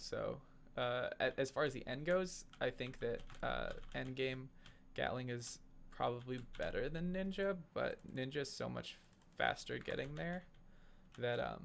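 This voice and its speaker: A man talks at a fairly slow pace, with long, frequent pauses. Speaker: gaming YouTuber. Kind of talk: gameplay commentary. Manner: hesitant, many fillers; mumbling.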